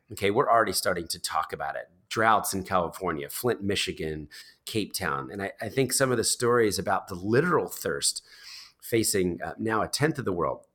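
A fairly low male voice with an American accent, vocal fry and very wide pitch swings at a moderate pace, on a very clean recording with a silent background. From US Northeast, New Jersey. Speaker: charity founder. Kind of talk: interview. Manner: hesitant with many fillers.

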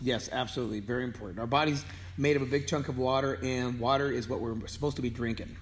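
A medium-pitched man at a very fast pace, intonation fairly even, with audible room echo. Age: 50s. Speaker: fitness trainer. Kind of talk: fitness tips video. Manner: halting, many fillers.

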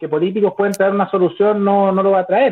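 A man with a Chilean accent speaks at a high pitch. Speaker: YouTuber. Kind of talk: debate.

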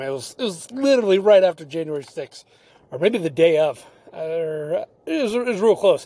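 A man speaks with lively intonation and an animated tone. The recording is very clean, the background silent. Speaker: podcast host. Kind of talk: casual monologue. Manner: fast.

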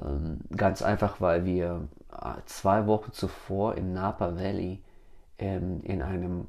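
A man talks in a very deep, low voice. His pace is very slow, with ordinary pitch variation. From Germany. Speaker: podcast host. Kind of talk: solo podcast monologue. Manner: hesitant, with many fillers.

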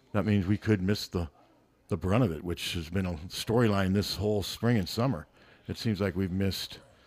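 A man with an American accent uses a plain, everyday voice, fairly low in pitch, at a moderate pace with ordinary pitch variation. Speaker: local sports radio guest. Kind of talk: casual chat. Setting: studio.

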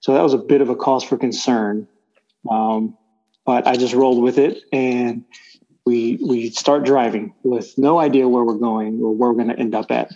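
A man with a Texan accent, a medium pitch, a dark, mellow tone, fairly even intonation and a moderate pace. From Texas Gulf Coast. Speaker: church elder, oil and gas worker. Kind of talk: casual interview.

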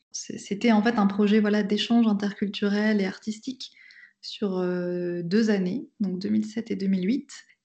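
A woman's somewhat breathy, medium-pitched voice at a very slow pace, with fairly even intonation. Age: 30s. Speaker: pastor. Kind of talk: testimony. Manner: hesitant, with frequent fillers.

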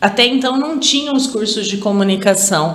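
A woman speaks with very wide pitch swings, noticeable background noise and audible room echo. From Araraquara, São Paulo state, Brazil. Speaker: university department head and professor. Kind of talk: interview.

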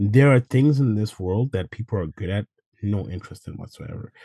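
A man speaks in a somewhat breathy voice. His intonation is lively, and the sound is dry and close with no echo. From Zimbabwe. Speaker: assistant gym manager. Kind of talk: interview.

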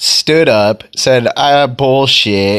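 Against noticeable background noise, a man talks in an animated tone with lively intonation. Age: 30s. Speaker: vlogger / filmmaker. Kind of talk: casual monologue.

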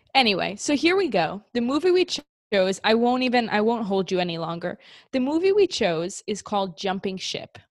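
With an American accent, a woman speaks at a fairly high pitch with very wide pitch swings. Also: moderate pace. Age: 20s. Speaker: podcast co-host. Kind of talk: casual chat.

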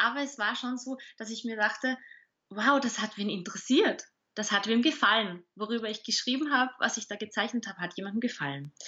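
With an Austrian accent, a woman speaks fairly quickly at a fairly high pitch, her pitch varying in an ordinary way. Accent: Austrian German dialect, audible. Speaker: communication expert and author. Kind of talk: interview.

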